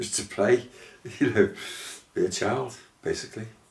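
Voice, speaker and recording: The speaker is a man with a Liverpool accent. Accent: Scouse (Liverpool). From Liverpool, England. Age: 70s. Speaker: musician. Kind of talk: interview. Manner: hesitant, many fillers.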